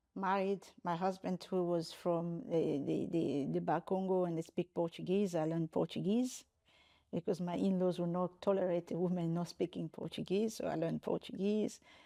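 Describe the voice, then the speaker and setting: Against a quiet background, a woman with a Congolese accent speaks at a moderate pace in a dark, mellow tone with fairly even intonation. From DR Congo. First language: French, Lingala, Swahili, Kikongo. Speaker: human rights lawyer and university rector. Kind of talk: interview. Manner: halting with frequent repetitions.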